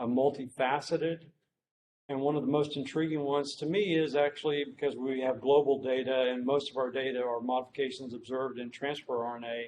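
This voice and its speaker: Intonation stays fairly even. The pace is fairly quick. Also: man, medium pitch for a man. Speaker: medical researcher, professor. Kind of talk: lecture. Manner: hesitant, many fillers.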